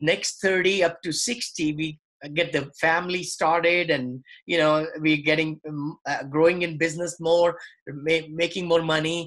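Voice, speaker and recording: Against a quiet background, a man with a high pitch speaks at a moderate pace with fairly even intonation. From India. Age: 60s. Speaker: real estate investor. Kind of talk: interview.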